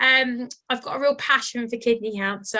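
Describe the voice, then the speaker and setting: Against a quiet background, a woman speaks in a British accent at a high pitch. Her tone is bright and sharp, and her intonation fairly even. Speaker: charity health professional lead. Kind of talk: presentation. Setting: video call. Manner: fast; casual, relaxed.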